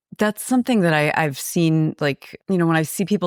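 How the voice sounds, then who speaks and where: A woman with an American accent speaks at a fairly quick pace in a very deep, low pitch with ordinary pitch variation. The recording is very clean with a silent background, a dry, close sound with no echo. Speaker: podcast co-host. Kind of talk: casual chat.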